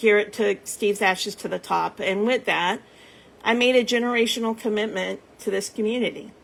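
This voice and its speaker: On a very clean recording with a silent background, a woman has an ordinary speaking voice, fairly high in pitch, with fairly even intonation and a fairly quick pace. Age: 50s. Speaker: nonprofit founder. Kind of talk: casual chat. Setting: livestream.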